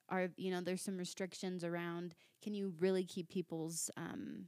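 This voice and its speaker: A woman with a plain, everyday voice speaks at a moderate pace in a medium pitch with an American accent, the sound dry and close with no echo. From Virginia. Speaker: mental health counselor. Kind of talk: casual chat.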